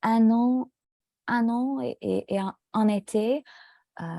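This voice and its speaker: Heard in a very clean, dry and close recording with a silent background and no echo, a woman speaks at a very slow pace in a dark, mellow tone with ordinary pitch variation. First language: English (speaking French). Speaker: French language student. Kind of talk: casual conversation in a language lesson. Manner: halting, many hesitations.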